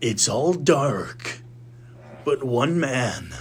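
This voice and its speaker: A man's put-on character voice at medium pitch, with ordinary pitch variation over clear background noise. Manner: dramatic.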